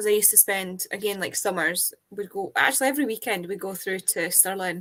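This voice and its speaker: A woman with a slight Scottish accent at medium pitch and a moderate pace, in a dry, close sound with no echo. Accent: Scottish, milder than her mum's. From Fife, Scotland. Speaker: book channel guest. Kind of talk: casual chat.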